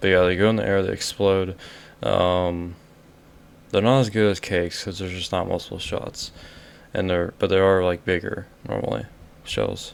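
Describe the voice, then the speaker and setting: The voice is quiet, moving at a moderate pace with fairly even intonation and long, frequent pauses. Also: man, very deep, low pitch for a man. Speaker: YouTuber ranking fireworks. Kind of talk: casual vlog ranking. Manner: quiet, keeping voice down; halting, many fillers.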